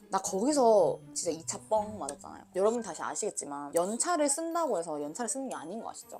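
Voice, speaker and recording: Music plays in the background as a woman speaks at a medium pitch. Her very fast delivery has very wide pitch swings. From Daegu, South Korea. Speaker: YouTuber, office worker. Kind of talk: casual storytelling mukbang. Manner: animated.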